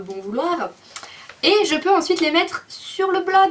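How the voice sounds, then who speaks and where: A woman's voice over noticeable background noise. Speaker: video blogger. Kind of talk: casual vlog update.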